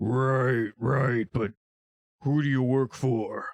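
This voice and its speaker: Speaking at a very slow pace, a man puts on a character voice at a medium pitch. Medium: actual play. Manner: slow, hesitant.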